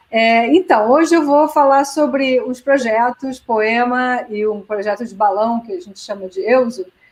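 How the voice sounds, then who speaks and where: A woman with a high pitch speaks at a fairly slow pace with hardly any pauses, ordinary pitch variation and big swings in loudness. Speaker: physics professor. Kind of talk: lecture. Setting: video call.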